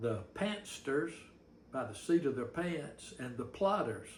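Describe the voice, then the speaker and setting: Words come out at a very slow pace. There's a somewhat breathy quality throughout. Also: man. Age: 70s. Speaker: novelist. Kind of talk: casual talk to camera. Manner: folksy, rambling.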